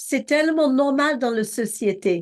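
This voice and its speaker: A high-pitched woman's voice, very slow in pace, with lively intonation. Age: 60s. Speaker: preacher. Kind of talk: sermon. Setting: video call.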